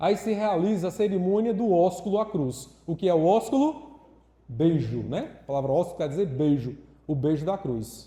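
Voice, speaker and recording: A man's dark, mellow voice, high in pitch, at a moderate pace. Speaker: catechist. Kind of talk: lecture.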